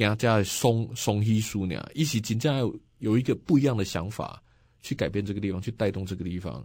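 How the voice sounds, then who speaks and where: A man speaks at a fairly quick pace with ordinary pitch variation and a fairly low pitch. The recording is very clean, with a silent background. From Taiwan, Nantou County. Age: 40s. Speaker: county councillor and local election candidate. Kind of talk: radio interview.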